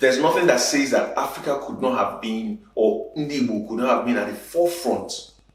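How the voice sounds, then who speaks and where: A man talks at a fairly quick pace with hardly any pauses and lively intonation. His pitch is fairly high, with noticeable background noise behind him. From Nigeria, Igbo. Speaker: spoken word poet, advertising creative director, conference speaker. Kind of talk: conference talk, conversational speech. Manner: conversational, punchy.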